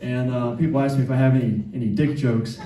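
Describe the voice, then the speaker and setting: A man speaks at a moderate pace. Noticeable background noise and audible room echo surround his voice. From US South, Atlanta (South Side). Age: 50s. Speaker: stand-up comedian. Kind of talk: stand-up. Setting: stage with audience.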